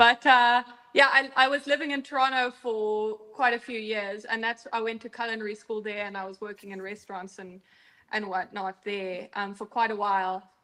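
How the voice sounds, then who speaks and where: Her tone bright and sharp, a woman with a fairly high pitch talks at a moderate pace with fairly even intonation and big swings in loudness. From Southern Africa. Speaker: restaurant owner and chef. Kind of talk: casual chat.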